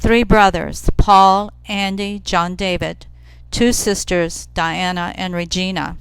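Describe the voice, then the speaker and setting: A woman speaks at a very slow pace and a medium pitch. Her intonation is monotone and flat. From US, Italian-American community. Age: 70s. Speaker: nun. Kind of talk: testimony.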